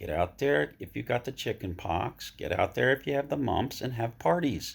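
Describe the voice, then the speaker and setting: Vocal fry and very wide pitch swings on a very clean recording with a silent background. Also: man, medium pitch for a man, moderate pace. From Vermont. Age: 70s. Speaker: interviewer. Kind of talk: casual chat.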